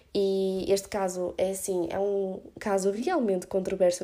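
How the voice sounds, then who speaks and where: A woman's medium-pitched, dark, mellow voice in a European Portuguese accent, flat and monotone, in a very clean recording with a silent background. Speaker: podcast host. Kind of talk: solo opinion podcast. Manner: casual with English fillers.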